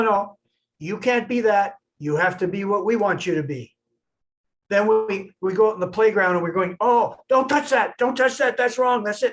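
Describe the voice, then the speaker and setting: This man's pitch sits high and varies in an ordinary way as he talks at a moderate pace. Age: 70s. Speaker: self-employed business owner. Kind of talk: casual chat. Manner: halting.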